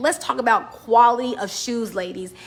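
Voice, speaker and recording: Noticeable background noise accompanies a woman speaking at a fairly high pitch. She moves at a moderate pace with ordinary pitch variation. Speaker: business and style advice vlogger. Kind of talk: casual talk to camera. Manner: loud; animated.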